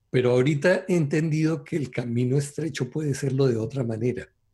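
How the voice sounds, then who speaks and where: A man speaks at a moderate pace and a medium pitch with ordinary pitch variation. His voice is somewhat breathy, with a dark, mellow tone. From Colombia. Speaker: translator and former pastor, Torah teacher. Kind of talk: religious discussion on radio show.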